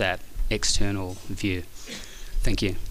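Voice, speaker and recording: Monotone, flat intonation at a moderate pace, in an Australian accent. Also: man. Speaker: architect. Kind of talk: acceptance speech.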